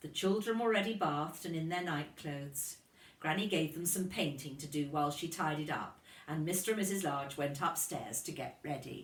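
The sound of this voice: A woman's low-pitched voice with ordinary pitch variation, a fairly bright tone, and audible room echo.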